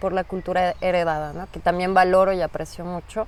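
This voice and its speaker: A woman talks at a fairly quick pace. Her pitch sits in the medium range. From Mexico, Mexico City. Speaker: migrant interviewee. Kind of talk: interview.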